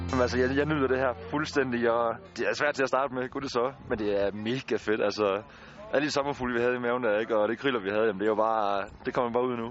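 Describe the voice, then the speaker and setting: Very fast speech from a man at a medium pitch, fairly even intonation and noticeable background noise. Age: 20s. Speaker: injured soldier. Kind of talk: casual interview.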